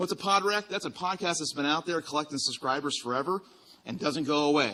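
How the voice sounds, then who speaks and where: A man speaks loudly with a slight Virginia accent. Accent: slight Virginia twang. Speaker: podcast design studio co-founder, conference speaker. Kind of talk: conference talk. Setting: stage with audience.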